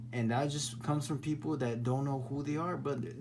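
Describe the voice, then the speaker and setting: A man's voice shows ordinary pitch variation, with audible room echo in the space. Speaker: spiritual vlogger. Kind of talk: casual monologue. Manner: halting, repetitive; animated.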